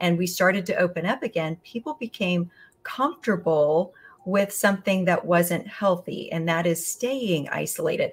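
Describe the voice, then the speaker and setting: Somewhat breathy, the voice moves at a moderate pace with ordinary pitch variation. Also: woman. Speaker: guest. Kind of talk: interview answer. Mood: earnest, concerned. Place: home room.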